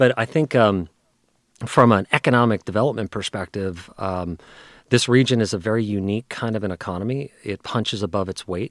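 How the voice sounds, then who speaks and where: Here is a man with a plain, everyday voice and an American accent, pitched fairly low with ordinary pitch variation. He talks at a fairly quick pace on a very clean recording with a silent background. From New Jersey. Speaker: economic development executive. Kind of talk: interview. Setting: studio.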